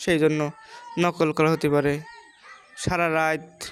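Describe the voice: A woman's low voice, clear and smooth in tone, slow, with little pitch movement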